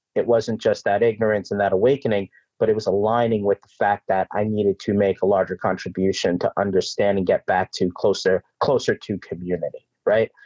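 Speaking with a New York accent, a man goes at a fairly quick pace with hardly any pauses. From New York City. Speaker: organ procurement CEO.

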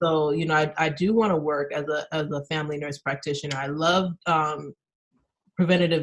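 Speaking at a fairly quick pace, a woman has a fairly low pitch, ordinary pitch variation and an unremarkable speaking voice. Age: 30s. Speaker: nurse and PhD student. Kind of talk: casual interview.

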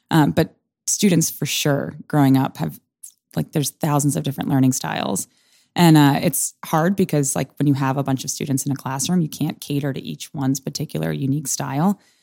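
On a very clean recording with a silent background and a dry, close sound with no echo, a woman with a very deep, low pitch, a dark, mellow tone and vocal fry speaks at a fairly quick pace. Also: ordinary pitch variation. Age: 20s. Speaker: improv performer. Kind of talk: casual interview chat. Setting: studio.

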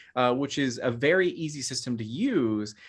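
A man with an American accent in a plain, everyday voice, lively intonation and a moderate pace, on a very clean recording with a silent background. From Phoenix, Arizona, US (Mexican American). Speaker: gaming content creator and game designer. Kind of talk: casual interview.

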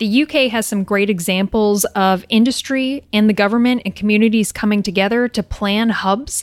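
A woman with a Maritimes accent, fairly high pitch, fairly even intonation and moderate pace, in a dry, close sound with no echo on a very clean recording with a silent background. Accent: Canadian English (Maritimes). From New Brunswick, Canada. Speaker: engineering company general manager. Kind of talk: interview conversation. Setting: in-person recording.

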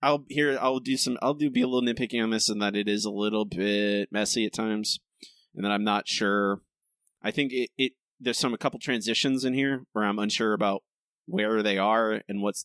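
In an unremarkable speaking voice, a man speaks at medium pitch with ordinary pitch variation and a fairly quick pace. The sound is dry and close with no echo, on a very clean recording with a silent background. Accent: American. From rural Florida. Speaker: podcast host, writer. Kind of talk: casual chat.

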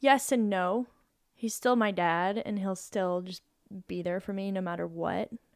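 A woman with a medium pitch speaks at a fairly slow pace, leaving long, frequent pauses. The recording is very clean, with a silent background. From Colorado, US. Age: 30s. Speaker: professional climber. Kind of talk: casual chat.

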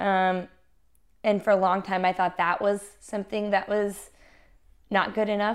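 With an American accent, a woman speaks at a fairly slow pace in a flat monotone, leaving long, frequent pauses, on a very clean recording with a silent background. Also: medium pitch for a woman. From US South, Little Rock, Arkansas. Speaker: musician. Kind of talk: casual interview.

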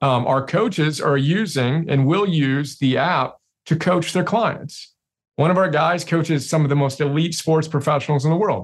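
A man talks at a moderate pace with a fairly high pitch. His pitch variation is ordinary, and it is an ordinary speaking voice. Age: 40s. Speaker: CEO and self-help author. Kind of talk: interview conversation.

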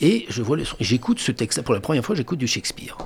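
A man talking very fast with a lively, varied intonation. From France, Angers area. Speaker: stage actor. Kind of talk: radio interview. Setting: radio studio.

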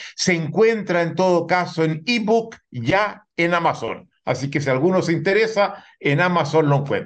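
High pitch from a man, fairly slow delivery and ordinary pitch variation. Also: hardly any pauses. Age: 70s. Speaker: sociologist and author. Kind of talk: interview.

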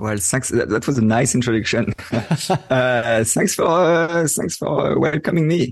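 A man with a French accent, medium in pitch, fairly slow, with lively intonation. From France, Paris. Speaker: photographer. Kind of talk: interview.

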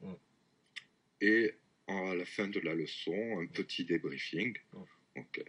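Very deep and low in pitch, a man speaks at a very slow pace with lively intonation. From southwest France. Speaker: French teacher. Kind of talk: casual interview. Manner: hesitant, many fillers.

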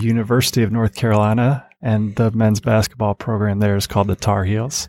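An ordinary speaking voice from a man at a medium pitch, on a very clean recording with a silent background. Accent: American. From Grand Rapids, Michigan. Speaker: pastor and basketball fan. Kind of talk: interview. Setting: studio.

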